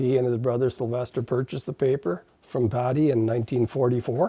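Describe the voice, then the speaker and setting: A man with an Ottawa Valley accent, medium pitch and a dark, mellow, somewhat breathy tone, at a fairly quick pace. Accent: Canadian English, Ottawa Valley. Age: 70s. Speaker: newspaper publisher. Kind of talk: interview. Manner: halting, with repetitions and fillers.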